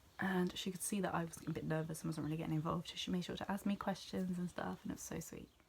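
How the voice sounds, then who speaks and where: The speaker talks at a very fast pace with hardly any pauses, fairly even intonation and a somewhat breathy sound. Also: woman, fairly low pitch for a woman. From southwest England, near Bristol. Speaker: vlogger. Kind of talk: casual vlog recap.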